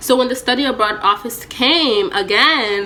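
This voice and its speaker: A woman with a fairly high voice speaks with lively intonation. Noticeable background noise runs underneath. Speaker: college student vlogger. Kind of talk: casual vlog story time. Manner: loud.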